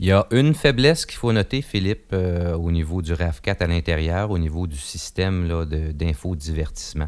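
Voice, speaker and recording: Very deep, low male voice, ordinary pitch variation, moderate pace. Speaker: car review podcast host. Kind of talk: casual car review discussion.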